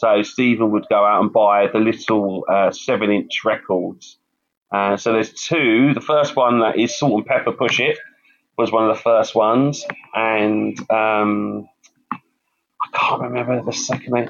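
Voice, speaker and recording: Speaking in a London accent, a man keeps a medium pitch and fairly even intonation. His pace is fairly slow and his loudness very even. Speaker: campaigner and youth mentor. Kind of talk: interview. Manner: hesitant, repeats words.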